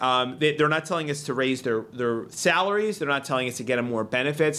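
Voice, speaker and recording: At a fairly high pitch, a man with a Philadelphia accent speaks in a bright, sharp tone with ordinary pitch variation. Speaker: state legislator. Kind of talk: casual interview chat. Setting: studio.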